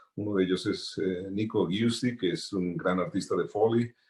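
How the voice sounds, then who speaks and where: A man's fairly low voice, fairly even in intonation, at a moderate pace. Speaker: sound designer. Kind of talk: panel talk.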